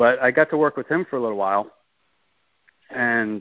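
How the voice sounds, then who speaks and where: A man speaks at a moderate pace. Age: 50s. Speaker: artist. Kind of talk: interview. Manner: halting.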